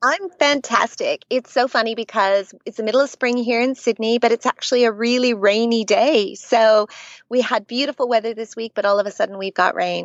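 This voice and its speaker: A woman with a Canadian accent, fairly high-pitched and fairly quick, with hardly any pauses and ordinary pitch variation. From Canada. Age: middle-aged. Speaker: children's author. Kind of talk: podcast interview.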